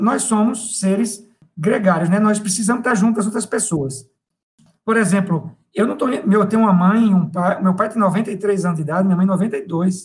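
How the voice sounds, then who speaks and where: Here a man speaks at a high pitch with ordinary pitch variation. His pace is moderate. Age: 50s. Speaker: professor. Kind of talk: interview.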